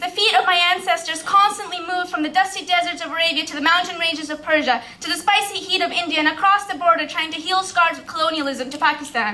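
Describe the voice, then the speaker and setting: Very fast talk in a raised, projected voice, with ordinary pitch variation and big swings in loudness. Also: woman, extremely high pitch for a woman. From Pakistan. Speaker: spoken word poet. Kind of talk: poetry slam performance. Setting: live stage.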